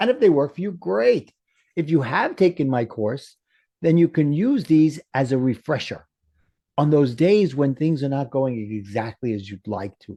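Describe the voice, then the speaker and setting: In a New York accent, the speaker's dark, mellow voice moves at a moderate pace with lively intonation. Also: man, fairly high pitch for a man. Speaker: life coach. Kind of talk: interview.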